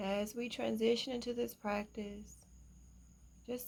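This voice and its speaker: A woman speaks at a fairly slow pace. Her tone is calm. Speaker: meditation guide. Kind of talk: guided meditation. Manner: slow, calm.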